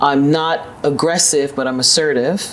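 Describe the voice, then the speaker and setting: The speech has a New York accent and a fairly quick pace with ordinary pitch variation. Background noise is noticeable. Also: woman. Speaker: business executive. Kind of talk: interview.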